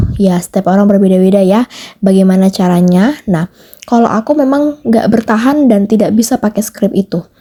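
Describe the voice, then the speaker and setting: The voice has a dark, mellow tone, a fairly quick pace and ordinary pitch variation. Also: woman. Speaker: home cleaning vlogger. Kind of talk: casual voiceover vlog. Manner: fast; loud, strong.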